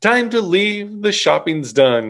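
The pace is slow and the tone fairly bright, with big pitch swings. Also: man.

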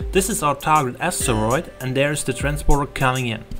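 Speaking at a fairly quick pace in a non-native accent, the voice is backed by music in the background. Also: man. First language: not English. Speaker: game developer. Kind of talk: game tutorial narration. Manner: fast.

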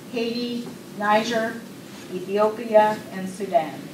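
A woman speaks with fairly even intonation. Audible room echo and light background noise are present. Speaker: university lecturer. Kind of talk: event hosting. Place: classroom. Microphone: camera far.

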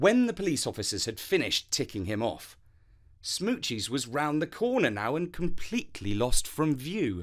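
A man talks in a calm, soothing tone at a fairly high pitch, with very wide pitch swings and vocal fry. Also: moderate pace. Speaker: storyteller. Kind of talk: bedtime story narration, read aloud. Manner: calm, soothing, gentle storytelling pace.

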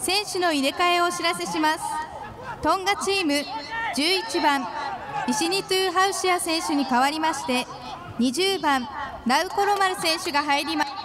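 With crowd noise behind her, a woman speaks at a moderate pace with ordinary pitch variation and long, frequent pauses. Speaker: stadium announcer. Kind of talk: public address announcement. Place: stadium.

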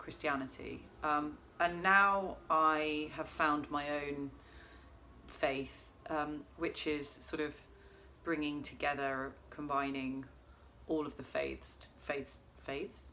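Over light background noise, a woman speaks at a very slow pace in a very deep, low pitch, her tone bright and sharp and her intonation monotone and flat. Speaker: vlogger. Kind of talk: casual vlog chat. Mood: calm, reflective. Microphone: phone near.

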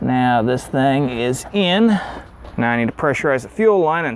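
A man is heard in a dry sound with no echo and light background noise. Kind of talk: tutorial. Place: garage.

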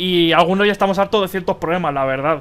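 This man speaks with a high pitch. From Spain. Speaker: gaming youtuber. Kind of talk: opinion commentary video. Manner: animated. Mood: exasperated, ranting.

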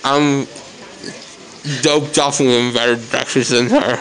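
Someone speaks at a fairly slow pace while crowd noise carries on in the background. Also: man. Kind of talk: casual vlog chat. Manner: drugged, slurred, lazy speech. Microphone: phone near.

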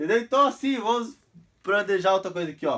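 Against a quiet background, a man speaks in an animated tone with lively intonation. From Brazil. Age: 30s. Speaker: vlogger; amateur teacher vlogger. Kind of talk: casual tutorial. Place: home room. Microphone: phone near.

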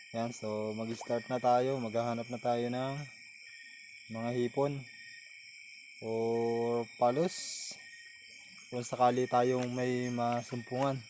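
The speech moves at a very slow pace with long, frequent pauses, and there is noticeable background noise. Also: man, medium pitch for a man. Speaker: vlogger. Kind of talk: outdoor vlog narration. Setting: outdoors at a stream at night. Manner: animated.

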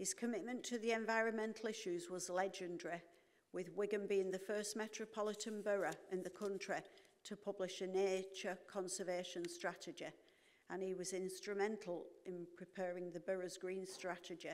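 At a moderate pace, a woman delivers her words with monotone, flat intonation. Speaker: council chair presiding over meeting. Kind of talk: formal announcement read aloud. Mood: solemn, respectful. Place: hall.

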